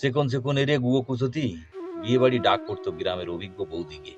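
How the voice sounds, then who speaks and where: Music sounds in the background. Over it, a man speaks with very wide pitch swings. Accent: Khulna. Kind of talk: poetry reading.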